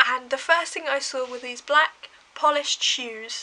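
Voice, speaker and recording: A woman's raised, projected voice with an English accent, high pitch and fairly even intonation. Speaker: vlogger. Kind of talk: casual storytelling to camera. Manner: fast.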